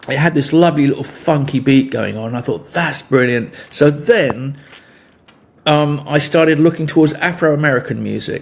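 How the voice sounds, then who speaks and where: Pausing long and often, a man with a southern English accent speaks at a moderate pace in a fairly high pitch with fairly even intonation. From England. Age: 70s. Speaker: musician. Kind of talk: interview. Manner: halting.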